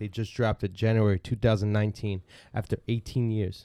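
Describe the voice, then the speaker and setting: On a very clean recording with a silent background, a man speaks fairly quickly in a dark, mellow tone and fairly low pitch, the sound dry and close with no echo. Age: 20s. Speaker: Bible study podcast co-host. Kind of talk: casual Bible survey discussion. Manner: animated.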